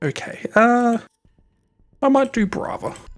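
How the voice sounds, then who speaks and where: The speaker talks at a very slow pace with an Australian accent. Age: 20s. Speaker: game streamer. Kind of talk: live stream chat with gameplay. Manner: casual, chatty; kept quiet, late at night.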